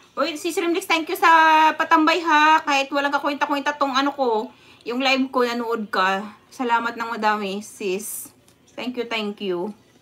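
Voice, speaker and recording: A woman with a high pitch projects a raised voice, her intonation lively and her pace moderate. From Visayas, Philippines. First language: Visayan (speaking Tagalog). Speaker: vlogger. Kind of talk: casual livestream chat. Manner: animated, frequent laughter. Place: home room. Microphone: phone near.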